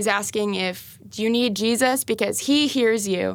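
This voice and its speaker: On a very clean recording with a silent background, a woman uses a normal speaking voice at a fairly high pitch, with ordinary pitch variation and a moderate pace. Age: 20s. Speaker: church apprentice and administrator. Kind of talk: devotional Bible discussion. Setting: studio.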